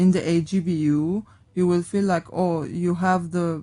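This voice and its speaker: At a very slow pace, the speaker uses fairly even intonation and a dark, mellow tone, with an Armenian accent. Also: woman. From Syria, Aleppo. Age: 20s. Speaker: radio guest. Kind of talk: casual interview. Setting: radio studio. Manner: halting, many fillers.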